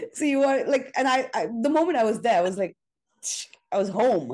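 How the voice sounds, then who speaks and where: A woman's vocal fry at a fairly quick pace. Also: quiet background. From India (Mumbai). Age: 40s. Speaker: astrologer. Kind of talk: interview.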